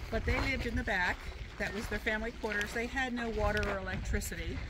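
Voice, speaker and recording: A woman talks over loud background noise. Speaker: tour guide. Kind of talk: guided tour explanation. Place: open country. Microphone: camera far.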